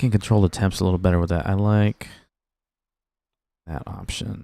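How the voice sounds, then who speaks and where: Soft-spoken, a man talks in a very deep, low voice with a dark, mellow tone. The sound is dry and close with no echo, a very clean recording with a silent background. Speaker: gaming streamer. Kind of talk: casual live stream chat.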